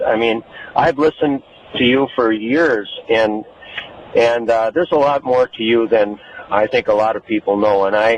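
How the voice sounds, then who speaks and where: A man speaks at a moderate pace with medium pitch and ordinary pitch variation, pausing long and often. The sound is dry and close with no echo, over noticeable background noise. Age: 60s. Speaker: caller, retired coach. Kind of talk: call-in radio tribute. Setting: phone call. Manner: halting.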